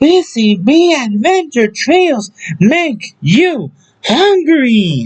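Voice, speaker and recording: A man's put-on character voice, extremely high-pitched and very slow. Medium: read story. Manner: polite, earnest.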